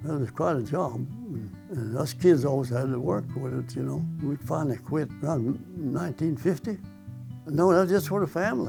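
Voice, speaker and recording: A man's fairly high voice at a fairly quick pace, lively in intonation, with a rural Missouri accent and music in the background. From Osage County, Missouri, USA. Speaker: World War II veteran and former farmer. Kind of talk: oral history interview answer.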